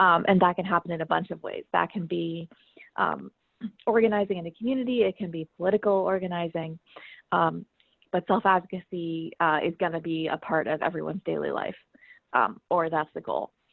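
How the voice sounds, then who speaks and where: A woman's fairly low voice, fairly even in intonation, at a fairly quick pace. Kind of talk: presentation. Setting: video call. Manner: fast. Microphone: phone audio.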